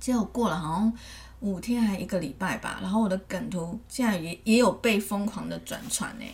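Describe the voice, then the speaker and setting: A woman with a medium pitch and ordinary pitch variation talks at a moderate pace against noticeable background noise. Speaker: podcast co-host. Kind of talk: casual chat.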